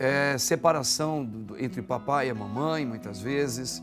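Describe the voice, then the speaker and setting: Music plays in the background while a man speaks at a very slow pace. His intonation is lively. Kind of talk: TV talk show hosting, conversational.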